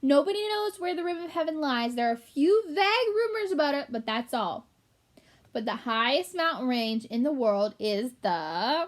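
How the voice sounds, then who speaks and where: A woman uses a shrill, put-on character voice at a high pitch. Her pitch swings very widely as she goes at a moderate pace. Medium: read story. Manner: pompous, know-it-all.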